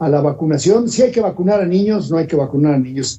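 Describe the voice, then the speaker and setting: A man is speaking. His pitch swings very widely. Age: 60s. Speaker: politician. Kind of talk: panel discussion.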